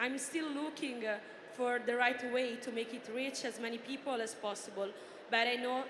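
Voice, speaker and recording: A woman's high voice with an Italian accent, moderate in pace and fairly even in intonation, with audible room echo and noticeable background noise. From Italy. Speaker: journalist and influencer, former footballer. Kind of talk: reading prepared answers on a panel. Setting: stage with audience.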